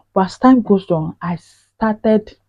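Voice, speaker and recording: A woman speaks with a Nigerian accent. Her voice is somewhat breathy. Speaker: vlogger. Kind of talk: personal vlog monologue. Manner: forceful, intense when passionate.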